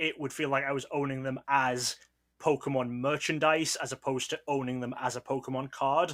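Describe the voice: Over a quiet backdrop, the text is read aloud plainly, its intonation fairly even.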